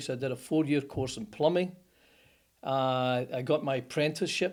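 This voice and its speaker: Medium-pitched man with a strong Scottish accent at a fairly quick pace, on a very clean recording with a silent background. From Scotland, Motherwell (Lanarkshire). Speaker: plumbing company founder. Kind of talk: interview storytelling.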